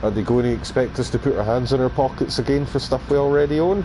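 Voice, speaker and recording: A man with a Scottish accent, medium pitch and fairly even intonation, at a fairly quick pace, with noticeable background noise. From Scotland. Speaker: video game streamer. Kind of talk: casual live stream chat. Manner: hesitant, many fillers; loud at times.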